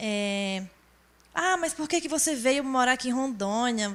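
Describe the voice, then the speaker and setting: A voice with a northeastern Brazilian accent speaks at a fairly slow pace. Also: woman. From Brazilian Northeast, Rio Grande do Norte. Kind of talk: testimony.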